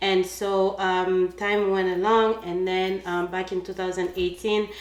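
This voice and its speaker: A woman speaks with a Congolese accent at medium pitch. Her intonation stays monotone and flat. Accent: African (Congolese). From Congo, Central Africa. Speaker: cleaning business owner. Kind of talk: casual interview chat. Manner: hesitant, many fillers.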